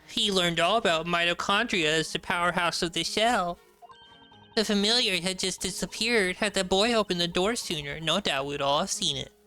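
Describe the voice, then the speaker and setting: A man's put-on character voice, raised and projected, high-pitched with ordinary pitch variation, at a fairly quick pace over faint background music. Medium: game stream. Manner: prim, lecturing.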